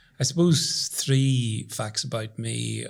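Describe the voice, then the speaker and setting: A man's somewhat breathy voice with a Northern Irish accent at a very slow pace, in a very clean recording with a silent background. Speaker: professor. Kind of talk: casual chat.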